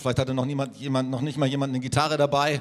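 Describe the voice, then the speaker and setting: A man's monotone, flat intonation. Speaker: church leader. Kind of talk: interview. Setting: church.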